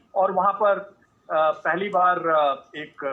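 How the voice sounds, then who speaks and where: This man's voice sits high in pitch for a man and shows ordinary pitch variation. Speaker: army officer, parade commentator. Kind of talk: interview answer.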